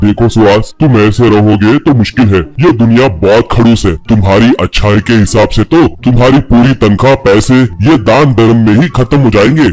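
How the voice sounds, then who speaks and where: In a cartoonish character voice of medium pitch, a man talks at a moderate pace with hardly any pauses, ordinary pitch variation and very even loudness. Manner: brusque, condescending.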